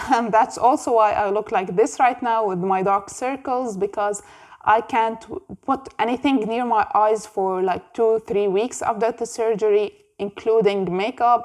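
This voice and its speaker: A woman with a fairly high pitch at a fairly slow pace. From Jordan. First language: Arabic. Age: 20s. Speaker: book youtuber. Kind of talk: casual vlog monologue.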